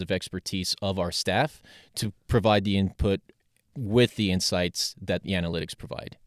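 Over a very clean recording with a silent background and a dry, close sound with no echo, a man with an American accent talks at a moderate pace in an unremarkable speaking voice, his fairly low pitch held in fairly even intonation. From Salt Lake City, Utah. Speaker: soccer club data analytics director. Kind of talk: podcast interview.

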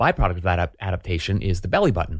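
A man with an American accent speaks in a very deep, low voice that is somewhat breathy, on a very clean recording with a silent background. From Oklahoma (Tulsa). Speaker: psychology professor. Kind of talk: interview.

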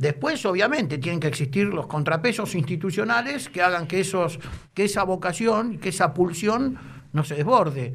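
A man's high-pitched voice with lively intonation. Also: moderate pace. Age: 50s. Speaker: football club official and lawyer. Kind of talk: casual interview.

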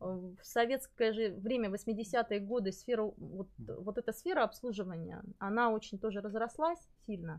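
Her voice is unremarkable, at medium pitch with ordinary pitch variation. The woman speaks at a fairly slow pace. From Buryatia, Russia. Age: 40s. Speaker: psychologist. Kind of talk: live stream interview. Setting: live stream with lapel mics.

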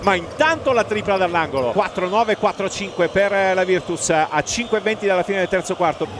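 Through noticeable background noise, a man with a high pitch and an excited tone talks at a fairly slow pace with hardly any pauses, ordinary pitch variation, and very even loudness. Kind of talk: live radio sports commentary. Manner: excited, exclamatory at key baskets and the final buzzer.

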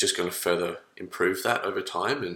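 The speaker is a man. He talks at a moderate pace. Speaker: guest.

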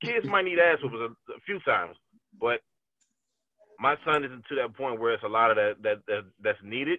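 His pitch swinging very widely, a man speaks fairly quickly. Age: 30s. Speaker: podcast guest, father. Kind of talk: casual chat. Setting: video call.

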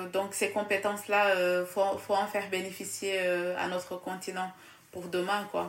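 A woman talks at a fairly slow pace and medium pitch, in a monotone, flat intonation. Her voice carries audible room echo. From Casamance, southern Senegal. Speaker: student. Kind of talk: casual interview.

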